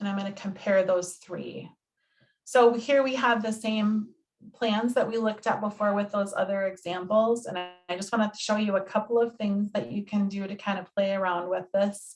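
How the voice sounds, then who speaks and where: Somewhat breathy, a woman of medium pitch speaks at a moderate pace with fairly even intonation. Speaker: health insurance navigator. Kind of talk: presentation.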